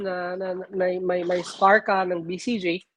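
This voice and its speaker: A woman's monotone, flat delivery in a Filipino accent. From Philippines. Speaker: nurse. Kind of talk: interview. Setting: live stream. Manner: halting.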